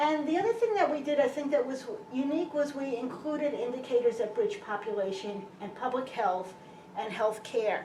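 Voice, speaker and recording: In a Brooklyn accent, a woman with a high pitch and very wide pitch swings talks at a moderate pace, with noticeable background noise and audible room echo. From US Northeast, Brooklyn, New York City. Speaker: physician and health researcher. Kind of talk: public lecture. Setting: lecture hall with audience.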